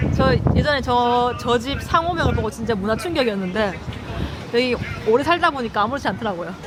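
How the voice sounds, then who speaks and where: A woman's high voice at a very fast pace, animated in tone with lively intonation and long, frequent pauses, crowd noise in the background. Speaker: travel vlogger. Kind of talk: travel vlog narration.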